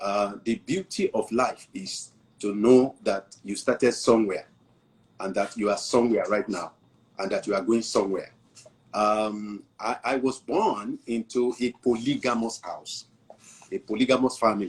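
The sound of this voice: There's a slightly husky edge to this man's fairly low voice, which shows ordinary pitch variation. He talks at a fairly slow pace.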